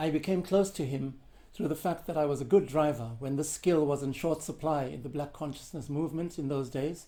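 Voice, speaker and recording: The man's tone is dark and mellow, and his pitch is fairly high. He moves at a fairly quick pace with ordinary pitch variation. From South Africa. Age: 70s. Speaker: composer and percussionist. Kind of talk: answering interview questions, prepared monologue. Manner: formal.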